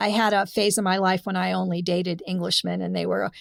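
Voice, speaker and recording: A woman with a Californian accent and a medium pitch speaks at a fairly quick pace. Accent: General American (Californian). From Los Angeles, California. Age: 70s. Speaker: former groupie and music business figure. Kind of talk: interview storytelling.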